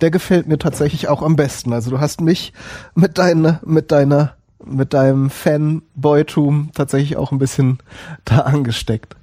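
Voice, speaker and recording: Speaking at a fairly slow pace, a man with a fairly high, somewhat breathy voice and a dark, mellow tone keeps his intonation fairly even, in a dry, close sound with no echo. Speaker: podcast host. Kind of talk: casual chat. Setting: live stream with chat.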